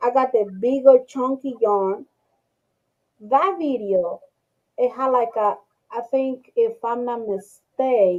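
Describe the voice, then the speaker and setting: With a strong non-native accent, a woman speaks very slowly at a high pitch, with ordinary pitch variation and long, frequent pauses. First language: not English. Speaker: crochet video creator. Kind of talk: casual group chat. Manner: halting, repeats words.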